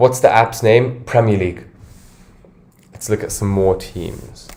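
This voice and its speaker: A man with an American accent speaks at a medium pitch in a dark, mellow, somewhat breathy tone. His pace is fairly slow, his intonation fairly even, and his loudness swings widely. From London. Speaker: fantasy football streamer. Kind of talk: casual livestream chat.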